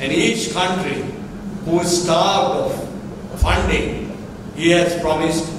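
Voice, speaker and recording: A man with a high pitch speaks at a very slow pace. Strong room echo and noticeable background noise fill the recording. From Sri Lanka. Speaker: national boxing association president. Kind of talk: press conference. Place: hall. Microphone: podium.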